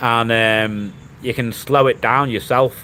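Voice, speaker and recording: A man talks with a Liverpool accent. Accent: Scouse. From Liverpool, England. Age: 40s. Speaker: vlogger. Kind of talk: livestream chat.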